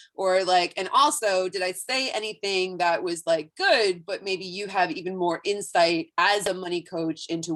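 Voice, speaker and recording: This is a normal speaking voice. The pace is moderate. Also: woman. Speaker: online class instructor. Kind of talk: webinar teaching.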